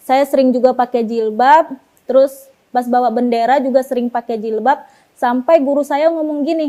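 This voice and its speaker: A woman's high voice at a moderate pace with fairly even intonation. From Pekanbaru, Riau, Indonesia. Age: 20s. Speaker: convert giving her story. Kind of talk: testimony. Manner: casual, hesitant with fillers.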